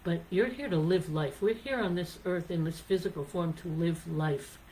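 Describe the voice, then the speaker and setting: Someone with an American accent speaks at a moderate pace with ordinary pitch variation. Background noise is noticeable. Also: woman, fairly low pitch for a woman. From United States. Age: 60s. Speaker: singer-songwriter. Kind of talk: casual talk on songwriting and life.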